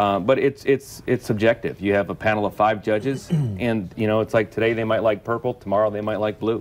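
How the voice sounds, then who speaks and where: A man with a plain, everyday voice speaks at a fairly quick pace in a fairly low pitch, his intonation fairly even and his pauses hardly there at all. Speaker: Minnesota state auctioneer champion. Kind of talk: interview answer.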